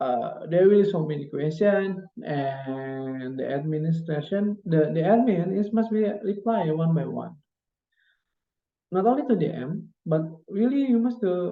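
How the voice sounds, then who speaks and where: A fairly slow, high-pitched male voice with lively intonation and an Indonesian accent. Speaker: graduate student. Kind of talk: presentation. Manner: halting.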